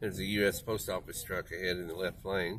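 Over light background noise, a man speaks at a moderate pace with a fairly low pitch. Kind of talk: commentary. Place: car. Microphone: phone near.

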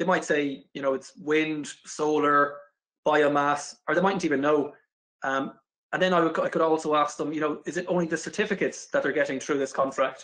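With an Irish accent, a man talks at a fairly quick pace in a fairly high pitch with fairly even intonation. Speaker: renewable energy specialist. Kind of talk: corporate video interview. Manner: hesitant, frequent fillers.

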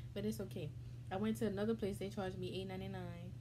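A woman speaks fairly quickly while noticeable background noise carries on behind her. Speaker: mukbang vlogger. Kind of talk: casual vlog chat. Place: home room. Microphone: phone near.

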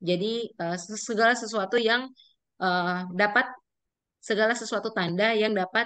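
A woman of medium pitch speaks at a fairly slow pace with fairly even intonation. Her tone is clear, smooth and fairly bright.

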